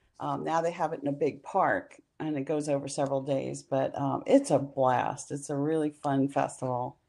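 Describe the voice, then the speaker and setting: A woman with a very deep, low pitch, vocal fry, a dark, mellow tone, and flat, monotone intonation over a quiet background. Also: moderate pace. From New Orleans, Louisiana. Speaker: travel writer and author. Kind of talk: casual interview conversation.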